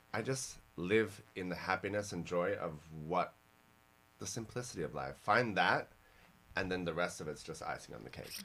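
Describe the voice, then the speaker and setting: Speaking with a slight Australian accent, a man with a very deep, low pitch sounds animated, his tone bright and sharp, with lively intonation, vocal fry and long, frequent pauses. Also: moderate pace. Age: 40s. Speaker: fashion podcast host. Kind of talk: casual podcast interview.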